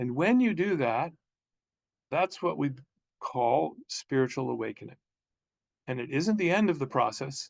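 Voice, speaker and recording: Pausing long and often, a man with a fairly high pitch and vocal fry uses lively intonation. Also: moderate pace. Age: 60s. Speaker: counselor and spiritual teacher. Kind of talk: talking-head video monologue.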